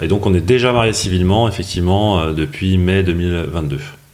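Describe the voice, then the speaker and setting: The speech shows ordinary pitch variation, with audible room echo. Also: man. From Paris, France. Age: 40s. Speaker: business partner of content creator, newlywed. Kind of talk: podcast interview.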